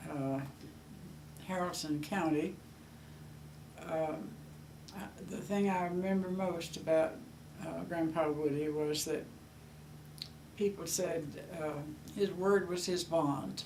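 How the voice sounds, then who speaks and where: A woman with a Southern US accent speaks at a very slow pace with long, frequent pauses and fairly even intonation. Her pitch is fairly low, with noticeable background noise and audible room echo. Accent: Southern US (Georgia). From US South, Georgia. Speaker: grandmother. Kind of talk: oral history interview. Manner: halting, many fillers.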